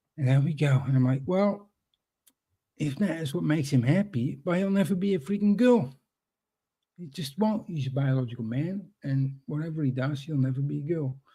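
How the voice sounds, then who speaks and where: Speaking at a moderate pace with a Dutch accent, a man uses a fairly high pitch, a somewhat breathy voice, an animated tone and lively intonation. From Netherlands. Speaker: guest on a live stream. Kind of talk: casual chat.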